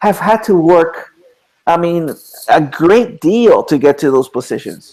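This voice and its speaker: A man talks with a non-native accent at a high pitch. His intonation is lively. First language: not English. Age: 40s. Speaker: author and educator. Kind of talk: interview. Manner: halting, many repeated words.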